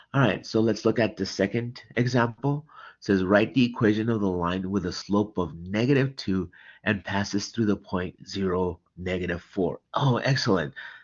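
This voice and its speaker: Using a plain, everyday voice, a man talks at a moderate pace in a fairly low pitch that varies in an ordinary way. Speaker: math tutor. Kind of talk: tutorial.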